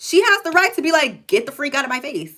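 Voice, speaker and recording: A woman speaks loudly in an animated tone on a very clean recording with a silent background. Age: 20s. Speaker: livestreamer. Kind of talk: casual chat.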